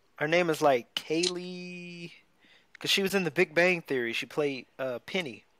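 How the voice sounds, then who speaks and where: At a moderate pace, a man with a high pitch and a bright, sharp tone speaks with ordinary pitch variation, the sound dry with no echo but with noticeable background noise. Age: 20s. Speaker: podcast co-host. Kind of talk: casual chat. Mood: relaxed, enthusiastic. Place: home room.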